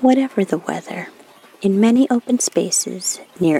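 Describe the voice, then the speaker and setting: A woman at a fairly slow pace with ordinary pitch variation, a dry, close sound with no echo and noticeable background noise. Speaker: podcast co-host.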